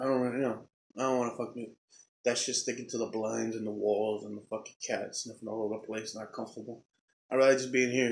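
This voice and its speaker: Speaking at a very fast pace, a man keeps a medium pitch and a monotone, flat intonation. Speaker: podcaster, rideshare driver. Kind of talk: casual monologue podcast.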